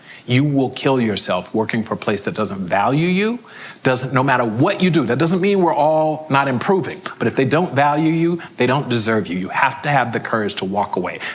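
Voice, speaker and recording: A man with an American accent, animated and fairly quick, with very wide pitch swings, hardly any pauses and noticeable background noise. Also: medium pitch for a man. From US South, Florida (Fort Lauderdale). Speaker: HR executive and CEO, conference speaker. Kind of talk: conference Q&A talk.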